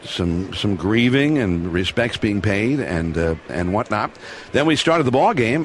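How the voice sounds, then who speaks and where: Against noticeable background noise, a man talks at a fairly slow pace. His fairly low voice has lively intonation. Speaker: sports broadcaster. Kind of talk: interview answer, recounting memories.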